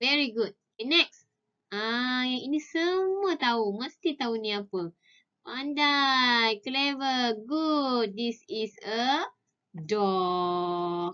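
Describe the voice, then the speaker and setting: The woman's voice is high, with very wide pitch swings. She talks at a very slow pace. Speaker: preschool teacher. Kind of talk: online lesson for young children. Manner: slow, clear spelling aloud.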